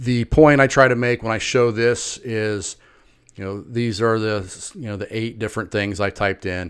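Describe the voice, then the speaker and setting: A man speaks in a plain, everyday voice at a moderate pace. His pitch is medium and his intonation fairly even. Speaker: marketing consultant. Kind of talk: sales pitch. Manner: casual.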